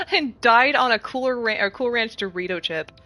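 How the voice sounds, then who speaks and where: Over noticeable background noise, a woman speaks in an animated tone with ordinary pitch variation. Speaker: video game streamer. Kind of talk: live stream gaming chat.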